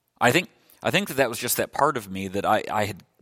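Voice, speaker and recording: This man has a medium-pitched voice and speaks with a Midwestern American accent. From US Midwest (Illinois). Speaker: pastor. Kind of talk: sermon. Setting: church. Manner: halting.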